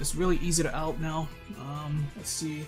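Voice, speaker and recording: Music plays in the background as a man talks at a fairly slow pace. His pitch is fairly high. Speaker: gaming video creator. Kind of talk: casual talk to camera. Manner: casual, hesitant.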